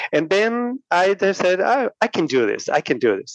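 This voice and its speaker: A man with a Spanish accent talks at a fairly slow pace, his pitch swinging very widely. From Puerto Rico. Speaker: podcaster. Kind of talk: casual chat. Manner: halting.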